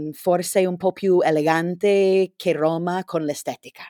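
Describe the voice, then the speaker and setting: Dark and mellow in tone, a woman speaks with a fairly low pitch. The recording is very clean with a silent background. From California, US. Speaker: Italian learner, podcast guest. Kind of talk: casual chat. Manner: halting.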